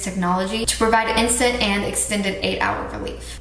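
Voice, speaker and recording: A woman's voice with fairly even intonation, audible room echo and light background noise. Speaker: vlogger. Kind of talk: sponsored product talk in a casual vlog. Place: bathroom. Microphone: phone near.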